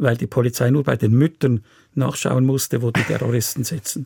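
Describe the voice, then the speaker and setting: A man's dark, mellow voice sits at a medium pitch with some vocal fry, moving at a fairly quick pace. The recording is very clean and silent behind him, with a dry, close sound and no echo. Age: 70s. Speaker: restaurateur and political activist. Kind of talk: radio interview.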